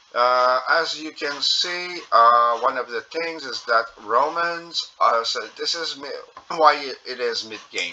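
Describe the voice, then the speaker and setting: Over noticeable background noise, a man with a strong French Canadian accent speaks at a very slow pace, his loudness swinging widely. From Quebec. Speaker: gaming youtuber. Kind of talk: gameplay commentary. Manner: halting, many fillers.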